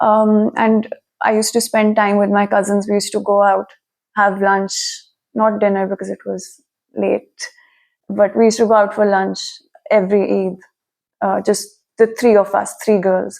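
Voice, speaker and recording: With a Pakistani accent, a woman speaks in a monotone, flat intonation, leaving long, frequent pauses. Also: medium pitch for a woman, moderate pace. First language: Urdu. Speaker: immigrant student interviewee. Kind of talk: interview.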